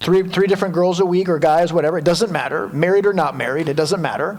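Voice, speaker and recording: A man talks with high pitch and ordinary pitch variation. Noticeable background noise and audible room echo come through. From Quebec. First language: French. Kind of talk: lecture.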